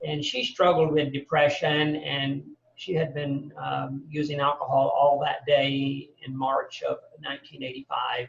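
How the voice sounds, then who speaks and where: The delivery comes at a fairly slow pace. It carries an American accent. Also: man. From US South, Birmingham, Alabama. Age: 60s. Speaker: mental health advocate. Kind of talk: podcast interview. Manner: halting, many fillers and repetitions.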